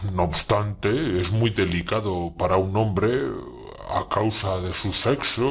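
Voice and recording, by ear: A natural voice reads aloud, its intonation fairly even.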